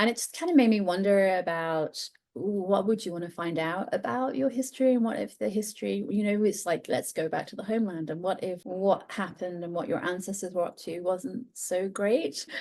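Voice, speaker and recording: The voice has a dark, mellow tone and ordinary pitch variation. It moves at a fairly quick pace with hardly any pauses. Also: woman, medium pitch for a woman. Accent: English. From England. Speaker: author. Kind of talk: podcast interview.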